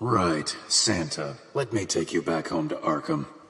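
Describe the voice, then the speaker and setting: A man's put-on character voice, very deep and low, with very wide pitch swings, very even loudness and a fairly slow pace over light background noise. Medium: audio drama. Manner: terse, guarded.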